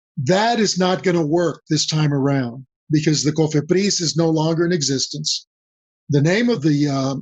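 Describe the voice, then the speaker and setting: A man with a fairly high pitch speaks with a Spanish accent. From Mexico, then US. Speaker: business consultant. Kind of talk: podcast interview.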